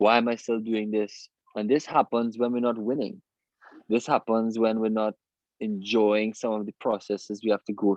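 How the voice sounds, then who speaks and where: A man's medium-pitched voice at a moderate pace. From Trinidad and Tobago. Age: 30s. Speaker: Olympic sailor. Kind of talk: motivational talk.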